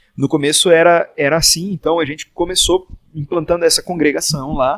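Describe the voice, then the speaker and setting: A man speaks with a high pitch at a fairly quick pace and fairly even intonation. The sound is dry and close, without echo. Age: 20s. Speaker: pastor. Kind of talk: casual chat.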